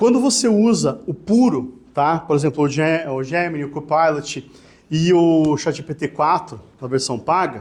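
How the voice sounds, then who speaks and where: At a fairly slow pace, a man with a normal speaking voice talks at a fairly high pitch, his intonation lively. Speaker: lawyer. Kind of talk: lecture. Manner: casual, conversational.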